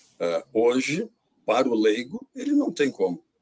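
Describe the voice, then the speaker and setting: At a moderate pace, the voice comes through dry and close, with no echo. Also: man. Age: 60s. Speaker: industry association president. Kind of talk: panel discussion.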